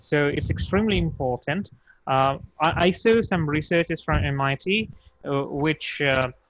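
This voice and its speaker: This man has a fairly high pitch with ordinary pitch variation. His pace is moderate. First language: not English. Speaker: startup founder. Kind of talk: video call workshop introduction. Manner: halting, many fillers.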